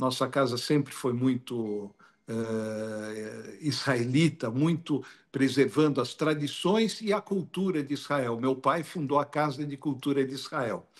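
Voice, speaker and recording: Against a quiet background, a man with fairly high pitch and ordinary pitch variation speaks at a very slow pace. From Brazil. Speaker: tour guide and researcher. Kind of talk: live stream interview talk.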